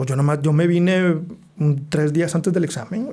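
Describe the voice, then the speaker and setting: A man speaks at a fairly quick pace. His tone is dark and mellow, and somewhat breathy. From Monterrey, northern Mexico (teen years in the US). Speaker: architect. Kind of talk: casual interview.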